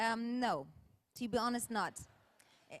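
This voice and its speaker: A woman with a German accent, fairly high pitch and fairly slow pace. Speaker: film director and actress. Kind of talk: audience Q&A. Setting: stage with audience. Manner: halting.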